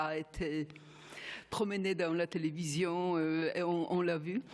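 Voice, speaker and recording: A woman talks at a medium pitch. Her pace is very slow. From Poland. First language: Polish (speaking French). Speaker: geneticist, panel speaker. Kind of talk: conference talk. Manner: halting.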